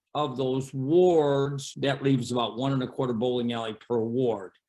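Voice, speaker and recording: Here a man talks at a moderate pace in an ordinary speaking voice. His pitch is medium. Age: 60s. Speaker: bowling alley owner. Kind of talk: interview.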